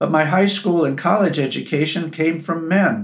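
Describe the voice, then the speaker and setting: In an American accent, a man talks at a moderate pace with a fairly high pitch, ordinary pitch variation, and vocal fry. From US Midwest, Chicago. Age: 70s. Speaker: podcast host and storyteller. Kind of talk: scripted narration.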